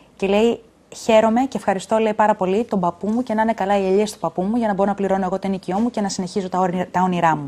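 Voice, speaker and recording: A woman talks very fast with hardly any pauses, in a dark, mellow tone with fairly even intonation. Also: medium pitch for a woman. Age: 30s. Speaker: politician. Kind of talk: TV interview. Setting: studio.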